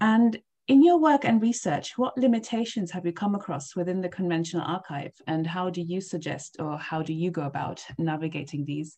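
Speaking at a fairly quick pace with hardly any pauses, a woman with a fairly low pitch and a dark, mellow tone sounds somewhat breathy, her intonation lively. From East Africa. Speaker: podcast host, PhD candidate. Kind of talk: interview.

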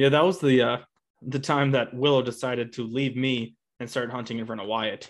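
With a normal speaking voice, a man speaks at a fairly quick pace, his medium pitch held in fairly even intonation. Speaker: upland bird hunter and podcast co-host. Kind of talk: casual chat. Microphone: new podcast mic.

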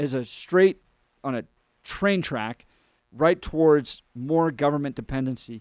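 Recorded dry and close with no echo on a very clean, silent background, a man with a plain, everyday voice speaks at a fairly high pitch with ordinary pitch variation. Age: 40s. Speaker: radio host. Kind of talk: radio talk show interview.

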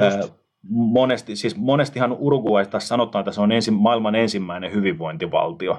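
A man talks at a medium pitch and a moderate pace. He has an ordinary speaking voice with ordinary pitch variation. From Finland, Tampere. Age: 30s. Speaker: podcast host. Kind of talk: casual chat.

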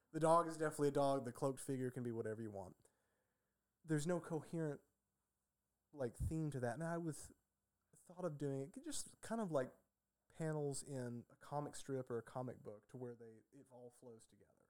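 A man with a fairly high voice talks at a fairly quick pace with ordinary pitch variation, big swings in loudness and long, frequent pauses. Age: 30s. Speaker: artist and packaging engineer. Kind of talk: casual chat.

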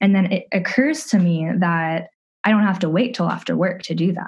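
The speaker is a woman with a somewhat breathy voice. Her pitch varies in an ordinary way. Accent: American. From US South, Atlanta, Georgia. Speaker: person in addiction recovery. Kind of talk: testimony.

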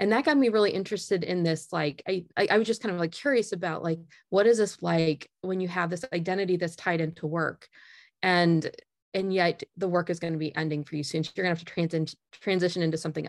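Speaking very fast in a Midwestern American accent, a woman with a fairly low pitch and ordinary pitch variation is heard against a quiet background. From US Midwest, northern Indiana. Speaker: management professor. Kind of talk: interview.

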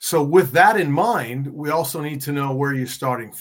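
A man with fairly even intonation. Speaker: coach and author. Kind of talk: casual interview chat.

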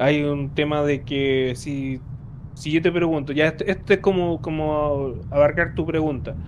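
Noticeable background noise sits behind a man with a fairly high pitch. He talks at a fairly slow pace with fairly even intonation. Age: 30s. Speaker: podcast host. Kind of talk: casual chat.

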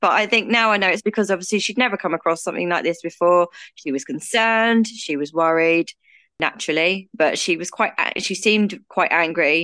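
Over a quiet background, a woman with a British accent speaks fairly quickly at a medium pitch, her tone bright and sharp and her pitch variation ordinary. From UK. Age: 30s. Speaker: guest with trichotillomania. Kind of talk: casual interview, personal story.

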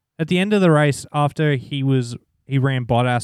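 With a strong Australian accent, a man speaks at a medium pitch with ordinary pitch variation on a very clean recording with a silent background, the sound dry and close with no echo. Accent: broad Australian. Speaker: podcast co-host. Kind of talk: casual chat.

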